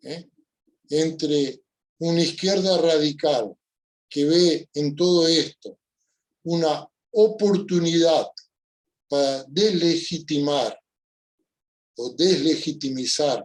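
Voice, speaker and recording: Speaking very slowly at a fairly high pitch, a man pauses long and often, with ordinary pitch variation. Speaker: panelist, social scientist. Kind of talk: panel talk.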